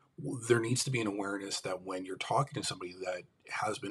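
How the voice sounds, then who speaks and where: With an American accent, a man talks at a very fast pace in a somewhat breathy voice with lively intonation. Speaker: livestream host, mental health advocate. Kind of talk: live stream monologue. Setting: live stream.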